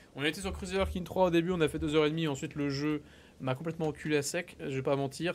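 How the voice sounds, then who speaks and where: A man talks in a normal speaking voice, fairly high in pitch, at a fairly quick pace with fairly even intonation. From France, Mayenne (Pays de la Loire). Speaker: streamer. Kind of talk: live stream chat. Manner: casual.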